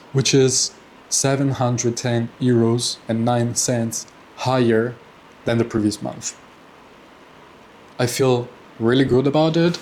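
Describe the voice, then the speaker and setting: A man speaks in a monotone, flat intonation with long, frequent pauses. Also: medium pitch for a man, fairly slow pace. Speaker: personal finance vlogger. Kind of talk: casual monthly update vlog. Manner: halting, many fillers and repeats.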